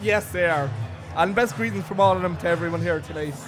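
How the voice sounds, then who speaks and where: Over music in the background, a man with a strong Irish accent talks at a very fast pace in a fairly high pitch, with ordinary pitch variation. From Ireland, living in Australia. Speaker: podcast guest. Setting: noisy pub.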